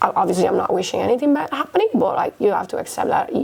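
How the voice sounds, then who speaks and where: A woman's voice over noticeable background noise. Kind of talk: podcast interview.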